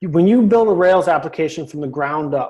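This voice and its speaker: This man speaks with a high pitch. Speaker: coding instructor. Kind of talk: lecture. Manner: fast.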